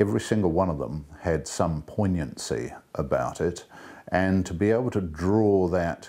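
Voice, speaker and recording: With a New Zealand accent, a man speaks at a moderate pace in a dark, mellow tone with vocal fry and ordinary pitch variation. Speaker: actor and director. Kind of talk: interview answer.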